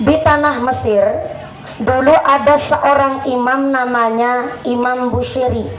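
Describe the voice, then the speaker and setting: A woman speaks very slowly in a high pitch. Audible room echo and noticeable background noise fill the recording. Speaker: female Islamic preacher. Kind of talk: sermon. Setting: stage with audience, PA system. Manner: animated.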